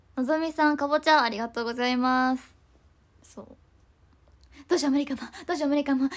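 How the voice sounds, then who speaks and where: Over a quiet background, a woman speaks high in pitch at a very fast pace with ordinary pitch variation. Her loudness swings widely, and she leaves long, frequent pauses. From Japan. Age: 20s. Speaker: idol; idol live streamer. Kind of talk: livestream chat. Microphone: phone near.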